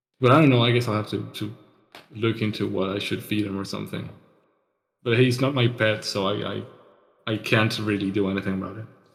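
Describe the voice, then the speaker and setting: With a non-native accent, the speaker talks at a very fast pace with fairly even intonation, broken by long, frequent pauses. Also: man, fairly low pitch for a man. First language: not English. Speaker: podcast co-host. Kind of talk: casual solo chat. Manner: halting, many fillers and repeats.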